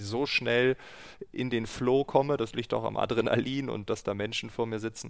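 In a plain, everyday voice, a man speaks at medium pitch and a fairly slow pace with fairly even intonation. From northern Germany (East Frisia). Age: 30s. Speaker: keynote speaker and podcast host. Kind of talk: casual interview. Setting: video call from home.

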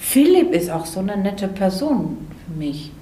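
A woman with a Greek accent talks at a medium pitch with very wide pitch swings. Noticeable background noise and audible room echo surround her voice. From Greece (Athens). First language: Greek (speaking German). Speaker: ceramic artist. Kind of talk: interview. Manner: halting, many fillers.

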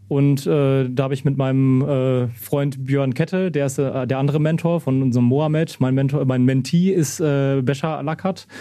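Speaking at a moderate pace with hardly any pauses, a man with a fairly high pitch keeps a fairly even intonation and very even loudness. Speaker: trainee vocational teacher and youth coach. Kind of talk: interview. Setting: football stadium after a match. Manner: halting, many fillers.

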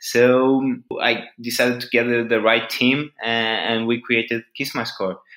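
In a Portuguese accent, a man speaks at a medium pitch. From Portugal. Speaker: startup founder. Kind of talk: interview.

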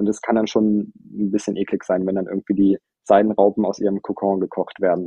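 A man with a fairly low pitch talks at a fairly quick pace. His intonation stays monotone and flat. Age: 30s. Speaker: cosmetics brand founder. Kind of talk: interview.

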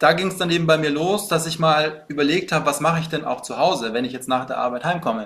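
At a fairly quick pace, a man with a fairly high pitch and ordinary pitch variation speaks in a plain, everyday voice. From Bavaria, Munich. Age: 30s. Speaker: fitness coach. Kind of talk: casual interview chat.

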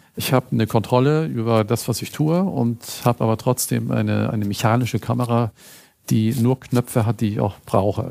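The voice has a dark, mellow tone and ordinary pitch variation, with a dry, close sound and no echo. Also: man, medium pitch for a man, moderate pace. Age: 60s. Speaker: food photographer. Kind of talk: interview.

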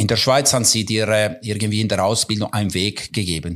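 A man with an Italian Swiss accent and a fairly low pitch. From Ticino, Switzerland. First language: Italian (speaking German). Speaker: football goalkeeper coach. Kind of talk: interview.

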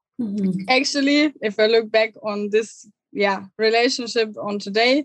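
A woman with a German accent, at a moderate pace, with fairly even intonation. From southern Germany, near Munich. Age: 20s. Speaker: online coach for digital nomads. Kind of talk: podcast interview.

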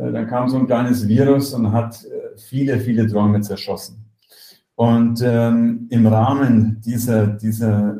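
Here a man speaks at a medium pitch with monotone, flat intonation. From Germany. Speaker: software company executive. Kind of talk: interview. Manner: halting, many fillers and repetitions.

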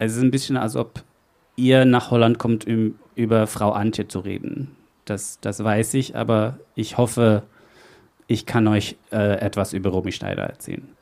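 In a very clean recording with a silent background, a man talks at a fairly slow pace and fairly low pitch. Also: fairly even intonation. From Netherlands. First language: Dutch (speaking German). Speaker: event host. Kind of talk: live event hosting. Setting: stage with audience. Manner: halting, with fillers.

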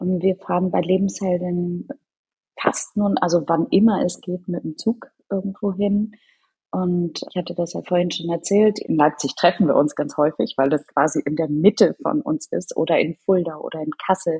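A woman speaks at a moderate pace in a fairly low, dark and mellow voice that is somewhat breathy and has ordinary pitch variation. The sound is dry and close with no echo over a quiet background. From Norderney, northern Germany. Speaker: charity co-founder. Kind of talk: interview.

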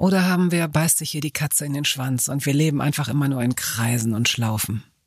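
A woman's unremarkable speaking voice, fairly quick, with lively intonation. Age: 50s. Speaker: podcast host, journalist. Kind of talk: interview. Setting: studio.

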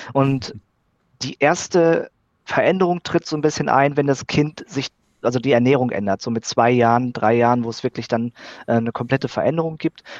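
A man's medium-pitched voice carries ordinary pitch variation as he speaks at a moderate pace. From Sauerland, Germany. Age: 30s. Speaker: biologist. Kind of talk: interview. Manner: halting, frequent fillers.

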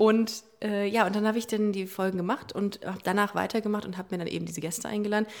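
A woman speaks very fast at a medium pitch, in a flat monotone. Noticeable background noise can be heard. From Hamburg, northern Germany. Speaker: LGBT podcast host. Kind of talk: casual chat.

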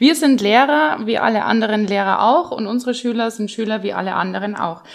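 Talking at a fairly quick pace, a woman with an unremarkable speaking voice has a fairly high pitch and ordinary pitch variation. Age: 40s. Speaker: secondary school teacher. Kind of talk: casual interview.

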